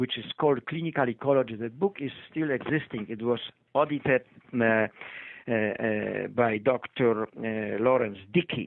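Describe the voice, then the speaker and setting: At a moderate pace, a man with a Polish accent speaks with lively intonation. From Poland. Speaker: retired physician. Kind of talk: interview. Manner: halting, many fillers.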